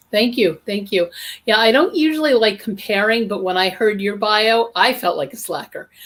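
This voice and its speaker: A woman talks at a moderate pace in a fairly high pitch with ordinary pitch variation. Hers is a plain, everyday voice. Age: 60s. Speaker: interfaith minister and author. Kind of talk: interview.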